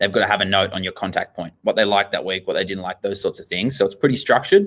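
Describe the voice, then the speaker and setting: A man talks in an Australian accent. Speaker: gym owner. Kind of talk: interview. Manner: fast; animated.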